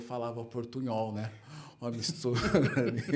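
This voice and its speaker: A man with a São Paulo accent speaks at a fairly quick pace. The recording has noticeable background noise and audible room echo. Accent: São Paulo accent, mocked in Rio. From Brazil, São Paulo. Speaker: podcast host. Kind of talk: casual interview chat.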